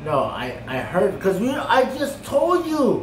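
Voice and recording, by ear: A man's high-pitched voice with very wide pitch swings, at a slow pace, in audible room echo.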